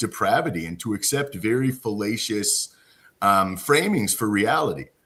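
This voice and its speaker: A man with an ordinary speaking voice speaks at a fairly slow pace. His intonation is lively. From Cape Breton, Nova Scotia, Canada. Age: 40s. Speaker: podcast host. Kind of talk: casual interview chat. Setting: live stream.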